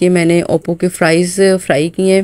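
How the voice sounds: A woman's fairly low voice, clear and smooth with a slightly mellow tone and little pitch movement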